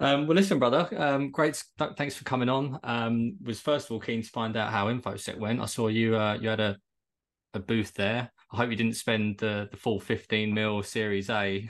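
Against a quiet background, someone with a southern English accent speaks at a moderate pace with ordinary pitch variation. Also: man, medium pitch for a man. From Kent, England. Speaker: podcast host. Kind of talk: casual interview.

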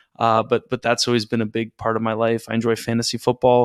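A man with a Canadian accent talks at a medium pitch with monotone, flat intonation. The sound is dry and close with no echo, and the recording is very clean with a silent background. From Canada, Toronto area. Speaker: securities lawyer and podcast host. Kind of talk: interview conversation.

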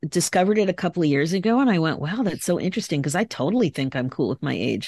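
Against a quiet background, a woman's voice makes very wide pitch swings, with a dry, close sound and no echo. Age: 50s. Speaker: life coach and podcast host. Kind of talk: casual chat. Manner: animated.

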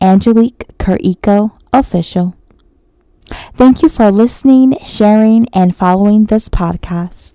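A woman with a dark, mellow tone and medium pitch speaks at a fairly slow pace with lively intonation, in a dry, close sound with no echo. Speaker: podcast host and poet. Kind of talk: spoken word poetry reading, rhymed verse. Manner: soft, intimate, tender and dreamy; slow, measured, rhythmic delivery.

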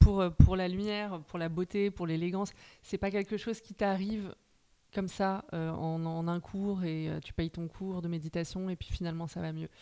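Over a silent background in a very clean recording, a woman of medium pitch speaks at a moderate pace in a dark, mellow tone, her intonation monotone and flat while her loudness swings widely. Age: 30s. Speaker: journalist and novelist. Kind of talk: casual interview chat.

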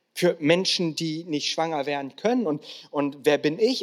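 With very wide pitch swings, a man talks at a fairly slow pace. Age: 40s. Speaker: guest pastor. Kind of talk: sermon. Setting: church stage with audience.

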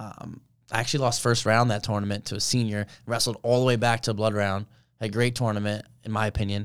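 Very fast and monotone, a man with an American accent talks at a fairly low pitch, his flat intonation captured on a very clean recording against a silent background. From New Jersey (Colonia). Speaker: college wrestler. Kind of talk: casual interview. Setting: studio.

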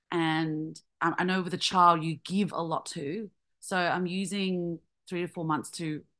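A woman speaks at a fairly slow pace with a fairly low pitch, fairly even intonation, a bright, sharp tone and an Australian accent. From Australia, Vietnamese family. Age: 30s. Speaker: comedian. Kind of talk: interview.

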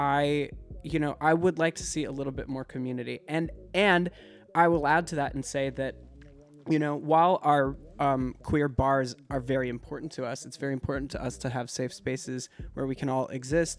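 An ordinary speaking voice from a man, fairly high in pitch. He keeps a moderate pace with fairly even intonation. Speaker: music artist. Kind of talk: casual interview chat.

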